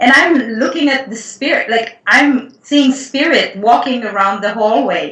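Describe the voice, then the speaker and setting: Amid audible room echo, a woman with a non-native accent and a high pitch speaks at a moderate pace. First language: not English. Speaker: Akashic Records healer and writer. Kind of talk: casual interview conversation.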